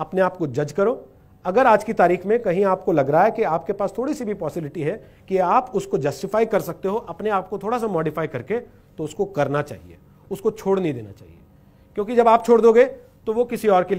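This man's voice sits at a high pitch with ordinary pitch variation. He moves at a moderate pace, with big swings in loudness. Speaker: speaker. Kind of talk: motivational talk. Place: stage.

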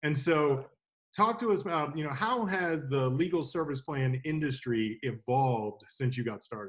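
Against a quiet background, a man speaks at a moderate pace. His voice is somewhat breathy, with lively intonation. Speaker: legal services sales associate. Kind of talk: interview. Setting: video call. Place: home room. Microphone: video call.

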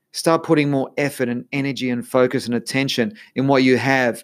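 The delivery is animated, with ordinary pitch variation, in an Australian accent. The pace is moderate. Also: man. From Australia, Melbourne. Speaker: podcast host, life coach. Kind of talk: solo podcast monologue.

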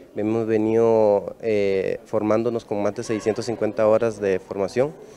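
Over light background noise, a man with a fairly low pitch talks at a very slow pace. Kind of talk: interview. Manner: halting. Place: hall. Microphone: handheld.

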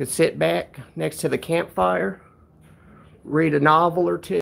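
A man's put-on character voice with vocal fry, a fairly bright tone and fairly even intonation. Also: fairly high pitch for a man, fairly slow pace.

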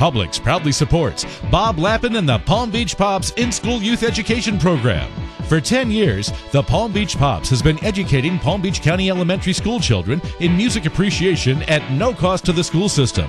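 With music in the background, a man speaks at a moderate pace in a high pitch that swings very widely while his loudness stays very even. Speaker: voice actor. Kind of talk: TV commercial read. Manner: warm, whimsical storybook style.

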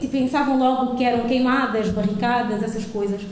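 A woman's high voice with fairly even intonation, light background noise and audible room echo. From Angola. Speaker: audience member. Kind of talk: audience remarks. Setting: stage with audience. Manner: halting. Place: hall. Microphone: handheld.

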